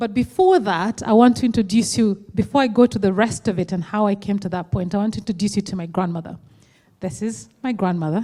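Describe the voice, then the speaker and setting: A woman talks at a very fast pace. Her voice is somewhat breathy with a dark, mellow tone. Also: medium pitch for a woman, ordinary pitch variation. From western Kenya. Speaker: entrepreneur. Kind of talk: conference talk. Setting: stage with audience. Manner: casual.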